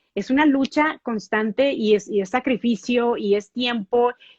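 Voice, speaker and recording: High-pitched woman's voice with ordinary pitch variation in a dry, close sound with no echo. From Mexico. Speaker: TV news anchor. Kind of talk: interview.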